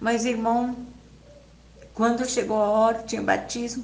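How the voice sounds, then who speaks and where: Someone speaks at a moderate pace with ordinary pitch variation. Noticeable background noise is present. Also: woman. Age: 80s+. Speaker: church member giving a religious testimony. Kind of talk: personal religious testimony.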